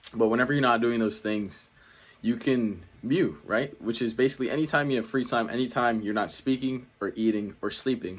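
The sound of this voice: A man's medium-pitched voice at a fairly quick pace, with ordinary pitch variation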